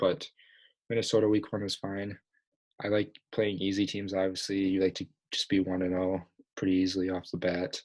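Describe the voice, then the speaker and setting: At a fairly quick pace yet with long, frequent pauses, a man speaks quietly with a very deep, low pitch and fairly even intonation. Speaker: podcast host. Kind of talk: casual chat. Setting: home basement, late at night. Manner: quiet, hushed.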